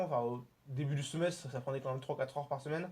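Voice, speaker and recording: Talking at a very fast pace, a man sounds somewhat breathy. His pitch is fairly high and his intonation fairly even. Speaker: student actor. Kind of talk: interview.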